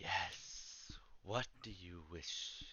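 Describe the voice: Someone whispers in a put-on character voice. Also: man.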